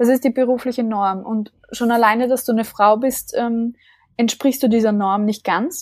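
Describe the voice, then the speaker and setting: Her voice unremarkable, a woman speaks at a moderate pace in a fairly high pitch with fairly even intonation, the sound dry and close with no echo. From Austria (small village). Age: 20s. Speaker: leadership coach and founder. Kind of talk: interview.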